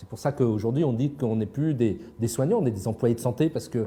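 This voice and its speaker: Dark and mellow, a man's voice is somewhat breathy, with ordinary pitch variation. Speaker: psychiatrist and author. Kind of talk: interview. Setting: live broadcast. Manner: fast.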